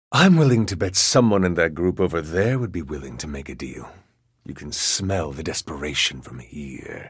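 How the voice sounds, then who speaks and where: A man doing a put-on character voice speaks at a moderate pace with a very deep, low pitch in a very clean recording with a silent background. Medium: machinima. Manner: sly, insinuating.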